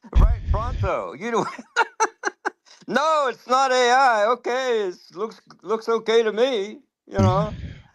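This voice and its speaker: A man's extremely high-pitched voice at a very slow pace, with ordinary pitch variation and long, frequent pauses. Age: 70s. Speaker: open-mic participant in a live audio space. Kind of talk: casual chat. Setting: live audio space on social media. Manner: animated.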